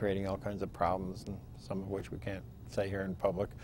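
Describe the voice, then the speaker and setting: A man with an American accent talks in a fairly low voice with vocal fry. The sound is dry with no echo, over light background noise. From Pennsylvania. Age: 50s. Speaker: state legislator. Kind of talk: oral history interview. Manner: hesitant with fillers. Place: studio. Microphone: lapel.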